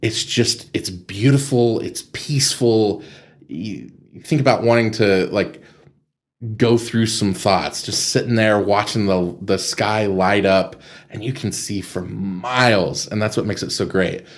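A fairly slow-paced man with a West Texas accent. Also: ordinary pitch variation. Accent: West Texas American. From Texas Panhandle, Amarillo. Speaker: nonprofit executive director. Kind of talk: interview conversation.

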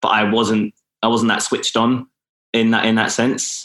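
A man with a southern English accent has a fairly low pitch and a moderate pace. The recording is very clean, with a silent background. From England, Milton Keynes. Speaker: actor and sustainability entrepreneur. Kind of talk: interview conversation.

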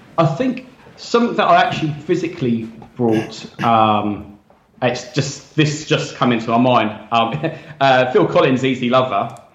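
With audible room echo around him, a man speaks at a fairly slow pace in a somewhat breathy voice, medium in pitch with ordinary variation and very even loudness. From South Coast of England. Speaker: DJ. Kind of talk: casual chat.

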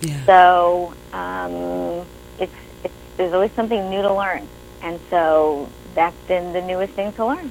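In a New York accent, a woman speaks at a fairly slow pace. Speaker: writer, actor and director. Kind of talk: casual interview chat.

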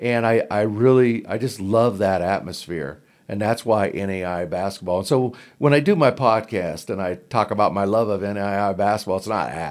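In a very clean recording with a silent background, a man with an American accent talks at a moderate pace in a normal speaking voice, fairly low in pitch with ordinary pitch variation. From southern Oregon, Klamath Falls. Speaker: basketball podcaster. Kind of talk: casual interview. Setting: conference room.

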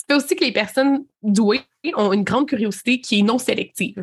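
A plain, everyday voice with lively intonation. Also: woman. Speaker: podcast co-host. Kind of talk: casual chat.

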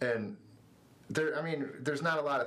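A man with an American accent, in audible room echo. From Northwest Ohio, US. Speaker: youth ministry worker. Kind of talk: casual interview. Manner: halting, many fillers.

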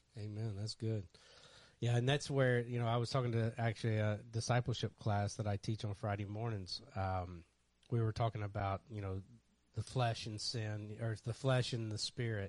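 An unremarkable speaking voice with fairly even intonation moves at a moderate pace over a quiet background. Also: man, fairly low pitch for a man. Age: 50s. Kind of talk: casual chat.

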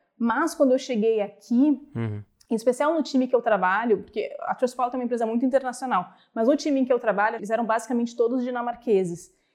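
Over a quiet background, a woman talks very fast. Her high voice shows ordinary pitch variation. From Brazil. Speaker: product manager. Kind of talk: interview conversation.

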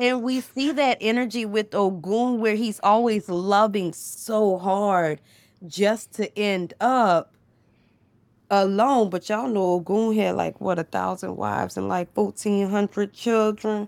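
On a very clean recording with a silent background, a woman speaks at a fairly slow pace with a medium pitch and ordinary pitch variation. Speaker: spiritual storyteller and therapist. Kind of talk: casual chat. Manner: animated.

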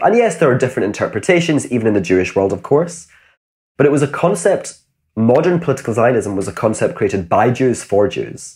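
The speaker talks fairly quickly in a Glasgow accent, somewhat breathy, with very wide pitch swings. The recording is very clean with a silent background. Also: man. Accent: Glasgow Scottish. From Scotland, Glasgow. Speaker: author and educator. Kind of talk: interview.

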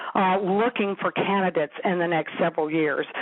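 Over noticeable background noise, a woman talks with an American accent. Her pitch is medium, with ordinary pitch variation. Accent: Southern US, can put it on. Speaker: company founder and author. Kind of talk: radio interview.

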